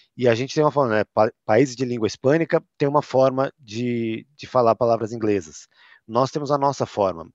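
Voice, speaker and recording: Against a quiet background, a man with a São Paulo accent speaks at a medium pitch and a moderate pace. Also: ordinary pitch variation. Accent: São Paulo (paulistano). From Brazil, São Paulo city. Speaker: tech company content manager. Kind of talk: interview.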